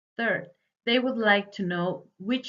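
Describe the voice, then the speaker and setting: Speaking with a Spanish accent, a woman goes at a fairly slow pace with ordinary pitch variation. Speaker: student. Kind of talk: presentation. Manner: read from script.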